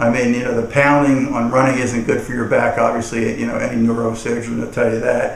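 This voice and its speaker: Amid noticeable background noise and audible room echo, a man talks at a fairly quick pace with hardly any pauses. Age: 60s. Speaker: testimonial customer. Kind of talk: testimony. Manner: halting, many repetitions and fillers.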